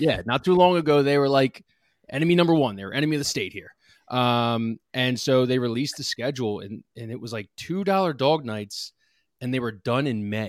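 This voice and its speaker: A man with an American accent in an ordinary speaking voice, medium-pitched, at a fairly quick pace with lively intonation and big swings in loudness, in a very clean recording with a silent background. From Lansdale, Pennsylvania. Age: 20s. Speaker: sports media content creator. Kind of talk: casual chat.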